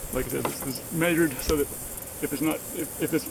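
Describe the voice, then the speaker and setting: Background noise is clearly audible as this man keeps his intonation fairly level. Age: 60s. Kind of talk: casual DIY narration to camera. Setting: outdoors.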